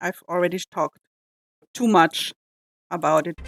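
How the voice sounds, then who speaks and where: A woman speaks with an Austrian accent and ordinary pitch variation. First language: German. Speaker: reaction youtuber. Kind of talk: casual reaction commentary. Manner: halting, frequent fillers.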